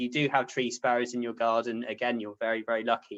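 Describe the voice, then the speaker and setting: This man speaks with a West Country accent. His voice sits at a medium pitch. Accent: Dorset. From southern England, Poole in Dorset. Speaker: ornithology researcher. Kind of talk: lecture.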